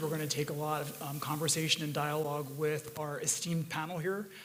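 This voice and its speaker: A man speaks at a fairly quick pace with a fairly high pitch and a bright, sharp tone. Room echo is audible. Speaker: panel moderator, higher education official. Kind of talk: panel moderation. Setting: stage with audience. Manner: casual.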